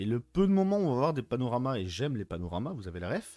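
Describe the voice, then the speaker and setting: Music plays in the background as a man talks at a fairly quick pace with very wide pitch swings. The sound is dry and close, with no echo. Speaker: film and series reviewer. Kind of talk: casual video review. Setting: unusual location, not usual set. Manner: soft-spoken; hesitant, many fillers.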